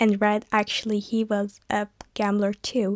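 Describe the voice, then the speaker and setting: The speaker has a Turkish accent and a fairly slow pace. The sound is dry and close, with no echo. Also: woman. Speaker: vlogger. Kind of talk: casual vlog talk.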